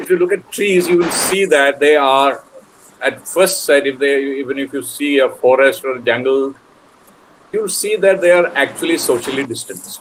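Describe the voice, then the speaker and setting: Noticeable background noise can be heard. The speaking pace is moderate. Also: man, fairly high pitch for a man, ordinary pitch variation. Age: 60s. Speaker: poet. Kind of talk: panel discussion. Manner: halting.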